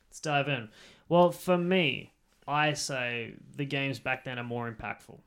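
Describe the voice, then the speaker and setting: In an Australian accent, the speaker goes at a fairly slow pace with ordinary pitch variation. Loudness swings widely, and the recording is very clean with a silent background. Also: man, fairly high pitch for a man. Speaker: podcast co-host. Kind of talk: casual chat.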